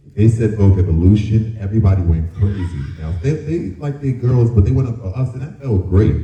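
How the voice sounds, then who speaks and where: A man's fairly low voice at a fairly quick pace, lively intonation and hardly any pauses, with audible room echo and noticeable background noise. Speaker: former dance crew member on a TV competition. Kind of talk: panel discussion.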